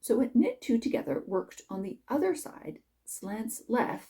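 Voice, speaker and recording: Her pitch sits fairly high for a woman, with very wide pitch swings. The tone is dark and mellow, marked by vocal fry. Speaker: knitting instructor. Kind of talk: tutorial.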